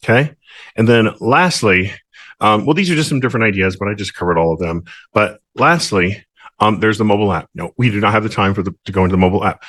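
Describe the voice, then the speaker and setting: The speech runs at a very fast pace with lively intonation over a quiet background. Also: man, fairly low pitch for a man. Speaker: mortgage professional sponsoring real estate agents. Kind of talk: screen-share tutorial. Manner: casual with many fillers and restarts.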